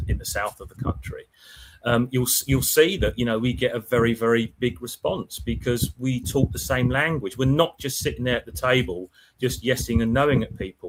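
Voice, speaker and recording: A man talks at a fairly quick pace with vocal fry. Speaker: die-cast toy auction specialist. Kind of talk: casual podcast chat. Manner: loud and brash.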